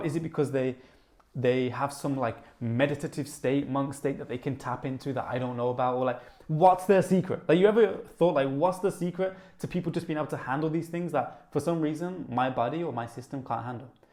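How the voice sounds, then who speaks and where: Fairly quick speech with a Brummie accent. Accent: Brummie (Birmingham). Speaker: YouTuber. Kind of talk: casual, conversational. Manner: fast talker, excited.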